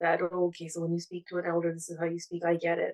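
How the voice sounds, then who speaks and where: A woman with a Punjabi accent, fairly low in pitch, her intonation monotone and flat, in a dry, close sound with no echo. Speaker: therapeutic counsellor. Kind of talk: webinar panel talk. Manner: halting, many repetitions and fillers.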